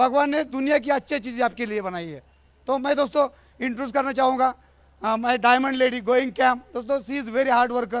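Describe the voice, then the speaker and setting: With a quiet background, a man talks at a moderate pace. His pitch is extremely high, with ordinary variation. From India, Maharashtra village near Pune. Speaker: network marketing distributor. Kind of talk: stage speech. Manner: animated.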